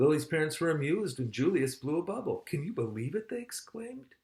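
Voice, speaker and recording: This man's voice makes very wide pitch swings. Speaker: father of the channel owner, reading a children's book. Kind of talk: children's picture book read-aloud. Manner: friendly, conversational, with asides and comments to the children.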